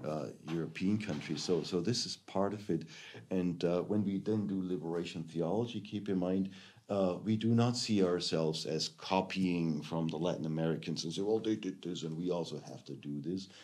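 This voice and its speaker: A man with a German accent speaks at a moderate pace in a very deep, low voice with ordinary pitch variation, and audible room echo surrounds him. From Germany. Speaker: theology professor. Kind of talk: lecture. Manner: halting, many fillers.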